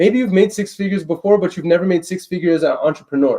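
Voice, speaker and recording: The man's voice is loud and high-pitched. It carries a dark, mellow tone. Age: young. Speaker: real estate investor and live streamer. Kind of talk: live stream deal negotiation. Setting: live stream. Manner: energetic.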